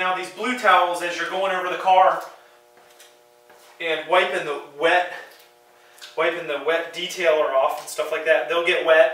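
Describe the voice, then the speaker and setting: With audible room echo and noticeable background noise, a man speaks at a moderate pace and a high pitch, using fairly even intonation and long, frequent pauses. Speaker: car detailing YouTuber. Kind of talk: tutorial. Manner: loud; casual, hesitant with fillers.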